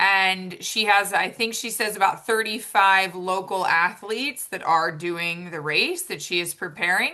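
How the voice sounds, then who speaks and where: A woman speaks loudly at a fairly slow pace, her pitch medium and her tone bright and sharp. She hardly pauses at all. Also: ordinary pitch variation. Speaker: triathlon and swim coach. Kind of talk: informational meeting presentation. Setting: video call. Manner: casual, upbeat.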